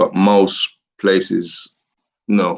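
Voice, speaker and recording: A man's very deep, low voice in a monotone, flat intonation. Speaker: real estate agent. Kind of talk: live stream Q&A. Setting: live stream from home. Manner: loud.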